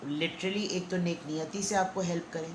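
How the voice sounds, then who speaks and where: Amid noticeable background noise and audible room echo, a woman with a fairly low pitch talks at a fairly slow pace with ordinary pitch variation. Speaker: tarot reader. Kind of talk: tarot reading. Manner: subdued.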